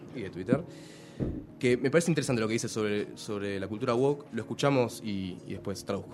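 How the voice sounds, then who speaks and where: Over music in the background, a man talks very fast at medium pitch with ordinary pitch variation. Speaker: radio columnist on international politics. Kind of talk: radio commentary.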